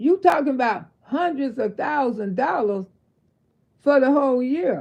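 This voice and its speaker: A woman's animated, high-pitched voice with an American accent, very wide pitch swings, and a moderate pace. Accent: country Geechee Southern. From South Florida, Miami. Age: 60s. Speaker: live-stream commentator. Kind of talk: casual live-stream chat. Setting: live stream from her bedroom.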